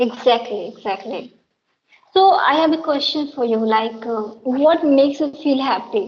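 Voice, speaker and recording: Someone with an Indian accent talks at a moderate pace with lively intonation. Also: woman, high pitch for a woman. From Bihar, India. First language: Maithili. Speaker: English teacher and channel host. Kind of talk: casual chat.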